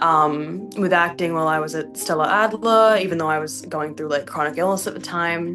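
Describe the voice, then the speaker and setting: A woman with an Australian accent and a very deep, low pitch speaks at a fairly quick pace with hardly any pauses and ordinary pitch variation. Noticeable background noise and audible room echo surround her. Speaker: actor and producer. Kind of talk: interview. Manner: casual, many fillers.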